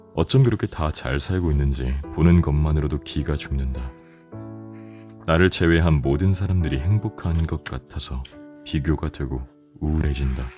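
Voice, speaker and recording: Over background music, a man speaks at a moderate pace in a very deep, low voice with ordinary pitch variation. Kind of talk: audiobook reading for sleep. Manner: soft, calm.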